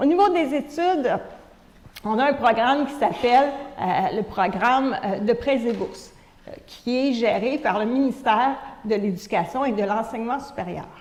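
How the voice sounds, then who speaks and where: In a Quebec accent, a woman with a high-pitched voice speaks at a fairly slow pace with lively intonation, amid audible room echo and noticeable background noise. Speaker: conference speaker. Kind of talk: lecture. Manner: hesitant, many fillers.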